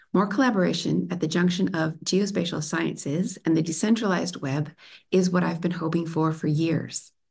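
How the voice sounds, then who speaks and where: Vocal fry runs through a woman's fairly low voice, which carries an American accent. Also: ordinary pitch variation, moderate pace. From United States. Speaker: PhD researcher. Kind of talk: conference talk. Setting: remote video presentation. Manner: formal.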